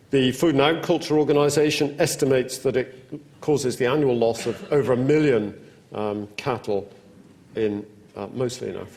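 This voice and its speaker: This man has a British accent and speaks at a fairly quick pace. There's audible room echo around his voice. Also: medium pitch for a man, ordinary pitch variation. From United Kingdom. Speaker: professor. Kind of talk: lecture.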